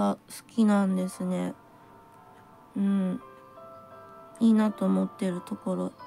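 A woman's voice with very wide pitch swings over faint music in the background. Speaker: tarot reader. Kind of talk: tarot reading talk to camera. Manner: plain, blunt natural voice; hesitant, thinking aloud. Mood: gentle, warm. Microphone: phone near.

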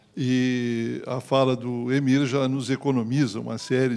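A man talks at a very slow pace. His medium-pitched voice is monotone, with flat intonation. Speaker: party politician on panel. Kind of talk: panel talk.

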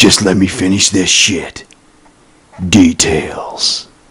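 Noticeable background noise runs through the clip. A man talks very slowly. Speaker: trailer voice-over narrator. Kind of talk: casual off-script aside. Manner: relaxed, casual.

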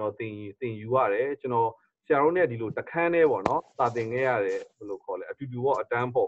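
With a Burmese accent, a man speaks at medium pitch and a moderate pace, keeping his intonation fairly even. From Myanmar. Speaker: pastor and interpreter; pastor. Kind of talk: sermon interpretation. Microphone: video call.

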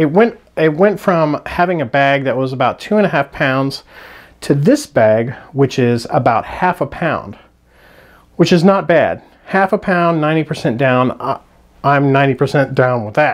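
A man speaks at a fairly slow pace with lively intonation against a quiet background. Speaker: budget hiker reviewing gear. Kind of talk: casual product review. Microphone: phone near.

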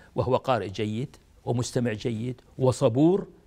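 The man's pace is fairly slow. His voice carries a dark, mellow tone. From Kuwait. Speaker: retired diplomat; interviewee. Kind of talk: interview. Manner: halting. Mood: warm, admiring. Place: home room. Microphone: lapel.

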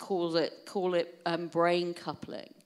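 A woman with a British accent speaks at a fairly low pitch against a quiet background. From UK. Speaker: keynote speaker on wellbeing; keynote speaker. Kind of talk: keynote talk to an audience. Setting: stage with audience. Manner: animated. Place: hall. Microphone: handheld.

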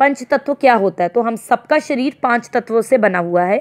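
A woman speaks in a high pitch. The sound is dry and close with no echo, over a quiet background. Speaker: Hindi teacher. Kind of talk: lecture. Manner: informal, conversational.

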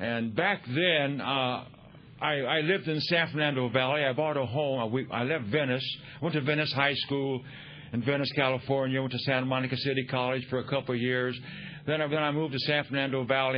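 A man talks at a fairly quick pace, his loudness very even and his intonation fairly even. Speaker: speaker.

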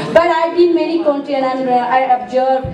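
High pitch from a woman, normal pitch movement and a moderate tempo, with background noise clearly audible. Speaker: guest. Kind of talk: speech to students. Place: hall. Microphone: pa.

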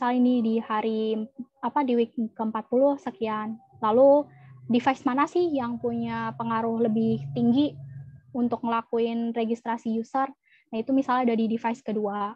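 A woman at a moderate pace with ordinary pitch variation, dry sound with no echo, and a quiet background. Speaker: data analyst. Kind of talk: presentation. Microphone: video call.

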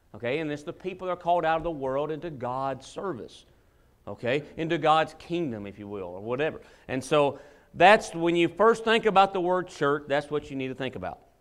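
A man talks at a fairly quick pace against a quiet background, his loudness swinging in big jumps. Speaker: preacher. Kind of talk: sermon. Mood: relaxed, occasional laughs. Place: church.

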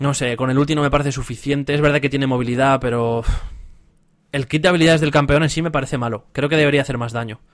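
Over a quiet background, a man talks at a very fast pace. His pitch is fairly high and his intonation fairly even. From Spain. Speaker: esports streamer and caster; streamer. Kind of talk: live stream Q&A. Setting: live stream with voice chat. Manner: casual, hesitant with fillers. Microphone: headset.

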